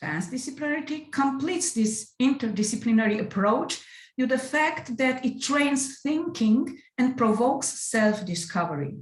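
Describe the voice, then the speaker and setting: In a room with audible echo, a woman with a non-native accent talks at a moderate pace in a high pitch, her intonation lively and her loudness very even. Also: hardly any pauses. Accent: non-native English pronunciation. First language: Romanian. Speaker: music educator presenting at an academic conference. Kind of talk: conference presentation.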